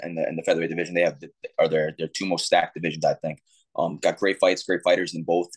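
The background stays silent. Over it, a man rattles off his words very quickly. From New York. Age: 30s. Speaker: professional MMA fighter. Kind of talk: interview. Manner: casual, repeats words. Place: home room. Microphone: video call.

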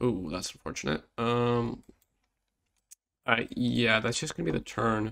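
The voice carries vocal fry. It moves at a moderate pace. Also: man. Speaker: card game content creator. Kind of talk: casual gameplay commentary.

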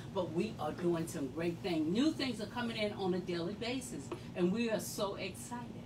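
A woman talks at a moderate pace with a fairly low pitch. Noticeable background noise runs underneath. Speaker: boutique host. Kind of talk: live sales show commentary. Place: shop. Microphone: phone near.

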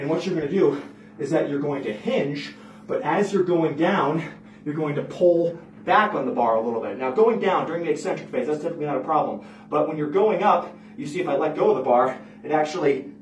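Light background noise and audible room echo behind a man speaking at a fairly quick pace. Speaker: lifting coach. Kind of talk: tutorial. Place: gym.

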